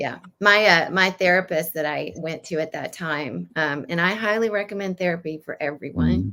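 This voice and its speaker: At a fairly low pitch with vocal fry, a woman talks at a moderate pace with ordinary pitch variation and hardly any pauses. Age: 60s. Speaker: yoga teacher. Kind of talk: interview.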